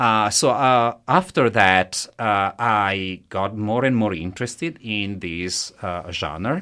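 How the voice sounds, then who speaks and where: A man's fairly low voice with a bright, sharp tone and an Italian accent, at a very slow pace with hardly any pauses and ordinary pitch variation, in a very clean recording with a silent background. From Italy. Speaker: professor of musicology. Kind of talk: interview. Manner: halting.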